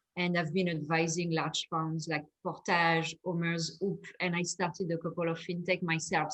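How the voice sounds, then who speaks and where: A woman at fairly low pitch with a French accent, speaking at a moderate pace. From France. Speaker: fintech investor. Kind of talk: panel discussion.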